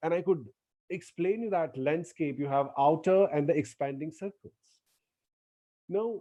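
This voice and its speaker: A man with a Gujarati accent, fairly high-pitched, his tone dark and mellow, with long, frequent pauses. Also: ordinary pitch variation, moderate pace. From India, Gujarati speaker. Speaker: lecturer. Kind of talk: lecture. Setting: online lecture.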